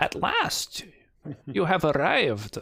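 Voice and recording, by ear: A put-on character voice from a man, raspy and fairly high in pitch.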